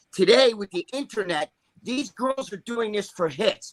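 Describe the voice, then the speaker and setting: Animated and raised, a man's projected voice carries a bright, sharp tone with ordinary pitch variation. He speaks at a moderate pace in a dry, close sound with no echo. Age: 60s. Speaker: podcast panelist. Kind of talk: casual chat.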